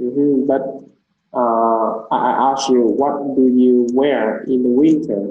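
A man with a Vietnamese accent speaks at a very slow pace and medium pitch, with fairly even intonation, very even loudness and audible room echo. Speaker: English teacher. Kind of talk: language lesson oral test.

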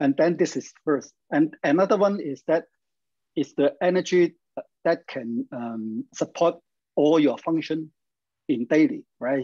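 A man with a dark, mellow tone speaks at a fairly slow pace, leaving long, frequent pauses against a quiet background. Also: lively intonation. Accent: Chinese. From China. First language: Chinese. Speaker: health practice coach. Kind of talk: instructional interview. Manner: halting. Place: home room. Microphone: video call.

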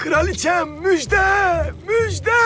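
A man shouts in a cartoonish character voice at an extremely high pitch. Clear background noise runs underneath. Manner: fawning.

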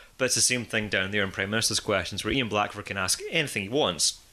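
A man speaks with a Scottish accent at a fairly low pitch. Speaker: podcast host. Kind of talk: casual chat. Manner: animated.

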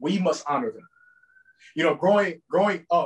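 A man with a New York accent speaks with ordinary pitch variation over a quiet background. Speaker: speaker. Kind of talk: campaign-style speech; speech to an online audience. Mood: earnest, reflective. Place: home room. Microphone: video call.

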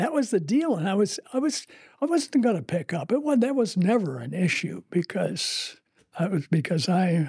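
At a moderate pace, a man speaks high for a man, with vocal fry, a husky, rough edge, big pitch swings and a slightly mellow tone.

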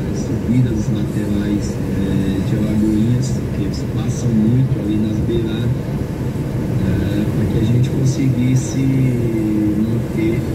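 Music plays in the background as the speaker moves at a very slow pace, broken by long, frequent pauses. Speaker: football coach on radio. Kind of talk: interview answer.

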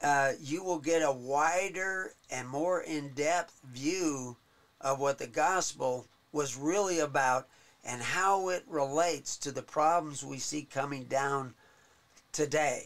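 Very slowly, a man speaks with ordinary variation in his pitch. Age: 70s. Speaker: interview guest, church minister. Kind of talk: interview. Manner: halting. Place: home room.

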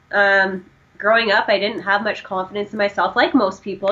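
A woman with a plain, everyday voice speaks in a Canadian accent at a fairly quick pace and medium pitch. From Canada. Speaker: powerlifting and running coach. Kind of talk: casual interview.

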